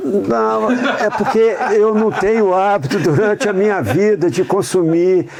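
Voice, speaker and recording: A man with a high voice speaks with lively intonation and very even loudness over noticeable background noise. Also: fairly slow pace. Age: 60s. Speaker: humanitarian worker and academy member. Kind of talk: interview.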